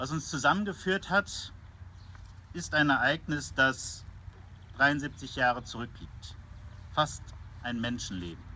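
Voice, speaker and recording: The voice has a bright, sharp tone with vocal fry and lively intonation. It moves at a fairly slow pace, with long, frequent pauses. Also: man, fairly high pitch for a man. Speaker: military chaplain. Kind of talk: sermon.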